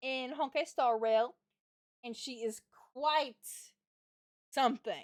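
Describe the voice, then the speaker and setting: Animated in tone, a woman talks at a fairly slow pace with ordinary pitch variation. The sound is dry and close, without echo. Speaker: vtuber streamer. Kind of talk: casual chat. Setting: home livestream. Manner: loud.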